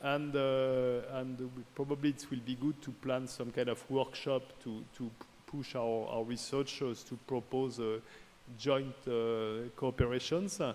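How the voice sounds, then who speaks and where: A man's fairly even intonation in a French accent. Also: medium pitch for a man. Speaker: research organization director. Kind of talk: formal speech. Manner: halting.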